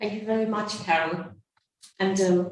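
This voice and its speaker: Audible room echo surrounds a woman speaking at medium pitch. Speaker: nun and anti-trafficking advocate. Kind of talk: conference talk. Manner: soft-spoken; hesitant.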